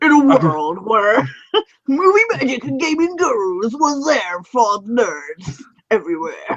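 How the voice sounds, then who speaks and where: A man puts on a character voice with an extremely high pitch and very wide pitch swings. He speaks at a fairly slow pace. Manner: dramatic, epic.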